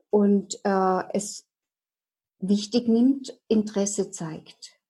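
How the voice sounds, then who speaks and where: A woman's somewhat breathy, dark and mellow voice holds a fairly even intonation. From eastern Germany, Dresden. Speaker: hypnotherapist. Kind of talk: interview.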